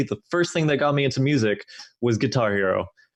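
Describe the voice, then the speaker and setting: A man speaks with an English accent. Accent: Americanized English. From Denmark, moved around a lot. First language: Danish. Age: young. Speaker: music producer, music student. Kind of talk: casual interview.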